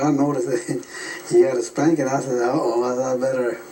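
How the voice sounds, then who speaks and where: Amid noticeable background noise and audible room echo, a man talks at a moderate pace in a medium pitch with fairly even intonation. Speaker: war veteran. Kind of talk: interview. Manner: halting.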